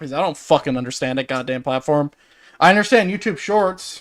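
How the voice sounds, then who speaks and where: The speaker has a Newfoundland accent. Pitch varies in an ordinary way. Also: man. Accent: Newfoundland accent, noticeable. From Newfoundland, Canada. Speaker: gaming streamer. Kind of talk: casual chat. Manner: halting.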